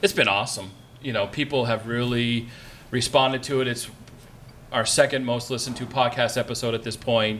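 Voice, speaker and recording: A man talks at a fairly quick pace in a medium pitch, his intonation fairly even. It is an unremarkable speaking voice. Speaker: pastor and podcaster. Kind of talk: panel discussion. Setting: stage with audience.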